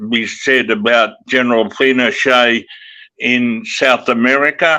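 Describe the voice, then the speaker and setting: A man with an Australian accent, medium pitch, a bright, sharp tone, ordinary pitch variation and a very slow pace. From Western Australia. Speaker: broadcaster and author. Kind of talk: podcast interview answer.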